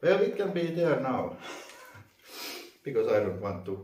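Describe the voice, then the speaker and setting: Audible room echo surrounds a man speaking with a non-native accent. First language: not English. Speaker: vacuum reviewer. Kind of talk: unboxing tutorial. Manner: halting, many fillers.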